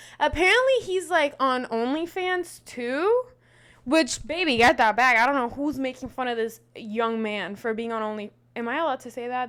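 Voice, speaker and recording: A woman speaks loudly at a high pitch, with a bright, sharp tone and a fairly quick pace. Her tone is animated and her intonation lively. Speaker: podcast host. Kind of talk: casual commentary.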